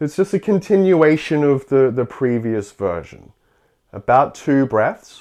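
His voice fairly high in pitch yet dark and mellow in tone, a man speaks at a fairly slow pace with very wide pitch swings. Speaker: yoga teacher. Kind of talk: guided yoga class, live instruction. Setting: online Zoom class. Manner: calm, steady, instructional cueing.

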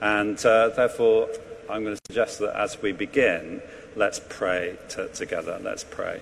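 Noticeable background noise sits behind this recording. A man with a southern English accent speaks at a fairly slow pace. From England. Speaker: priest. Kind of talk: sermon. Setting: church.

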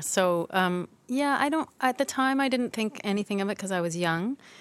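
A woman's plain, everyday voice in a Canadian accent, with lively intonation at a moderate pace, dry and close with no echo, in a very clean recording against a silent background. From Toronto, Canada. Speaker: lighting designer. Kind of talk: interview conversation. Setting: theatre library.

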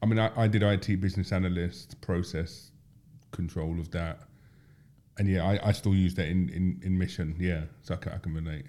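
A dark, mellow tone with a London accent and ordinary pitch variation. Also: man, very deep, low pitch for a man, fairly quick pace. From South London, Tulse Hill. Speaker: podcast host. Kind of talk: casual chat.

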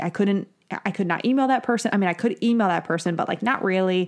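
This woman has a plain, everyday voice with an American accent. Her pitch is medium and varies in an ordinary way. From New York. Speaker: physical therapist and practice manager. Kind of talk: casual chat.

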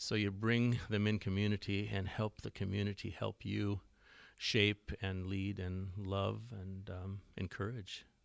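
With an Upper Midwest accent, a man speaks at a fairly slow pace in a fairly low, flat monotone on a very clean recording with a silent background. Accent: Upper Midwest American. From West Central Minnesota. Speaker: church music leader and songwriter. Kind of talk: casual interview.

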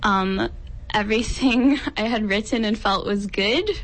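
A woman at a very slow pace. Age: 20s. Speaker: poet. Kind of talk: casual interview.

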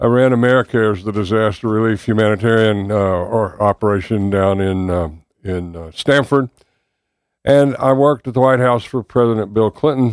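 Speaking with a Southern US accent, a man with a fairly low pitch and ordinary pitch variation goes at a moderate pace in a very clean, dry, close recording with a silent background and no echo. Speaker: political candidate. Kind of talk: radio interview. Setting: studio.

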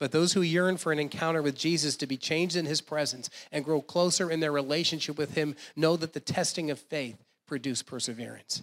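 With an American accent, a man talks at a fairly quick pace in a fairly high pitch and fairly even intonation. The recording is very clean, with a silent background. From New Jersey. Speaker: guest preacher. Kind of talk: sermon. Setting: church.

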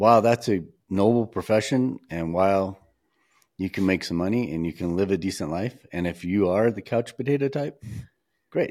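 A man speaks with a normal speaking voice at a moderate pace. His pitch variation is ordinary. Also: fairly low pitch for a man. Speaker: wildlife photographer and podcast host. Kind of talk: casual chat. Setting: video call.

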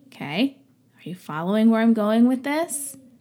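The woman's voice sits at a fairly high pitch. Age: 30s. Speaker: podcast host and small business owner. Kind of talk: casual monologue. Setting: at home, no studio. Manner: occasionally stumbles over words. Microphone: non-professional equipment.

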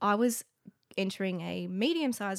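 A woman with an Australian accent at medium pitch, on a very clean recording with a silent background. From Canberra, Australia. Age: 30s. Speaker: comedian. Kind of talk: casual chat.

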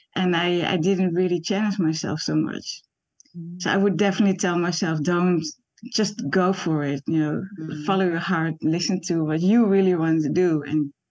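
Speaking with a Dutch accent, a woman has a fairly low pitch, ordinary pitch variation and a moderate pace. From Netherlands. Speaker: animation artist. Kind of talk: interview. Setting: video call.

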